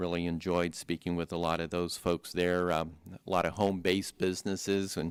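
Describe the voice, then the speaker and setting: With a very deep, low pitch and a monotone, flat intonation, a man talks at a fairly quick pace. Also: very clean recording, silent background. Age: 60s. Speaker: county commissioner. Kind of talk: public board meeting report.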